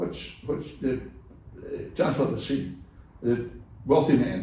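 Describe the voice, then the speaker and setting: With audible room echo, a man speaks at a very slow pace. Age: 70s. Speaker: cattle farmer. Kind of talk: casual interview chat.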